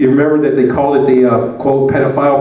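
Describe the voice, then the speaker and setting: Amid noticeable background noise and audible room echo, a man with an American accent speaks at a medium pitch. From US South. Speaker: advocate and presenter. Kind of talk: conference presentation. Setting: conference room with audience. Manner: casual, hesitant with many fillers.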